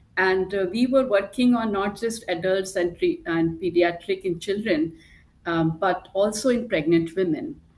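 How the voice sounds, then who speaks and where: A woman speaks with an Indian accent at a medium pitch. Her pace is fairly slow. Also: ordinary pitch variation. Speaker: pharmaceutical clinical development head. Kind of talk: panel discussion.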